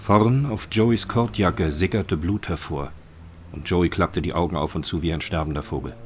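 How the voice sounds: A man with a low pitch speaks at a moderate pace with ordinary pitch variation.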